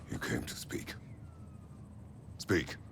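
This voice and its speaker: Over clear background noise, a man performs a put-on character voice. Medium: short film. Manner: terse, gruff.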